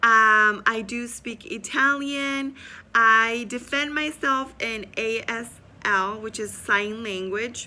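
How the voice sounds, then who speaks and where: A woman with a Spanish accent, her fairly high voice bright and sharp in tone, with ordinary pitch variation. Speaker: student and business owner. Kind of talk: self-introduction video. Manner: hesitant with many fillers.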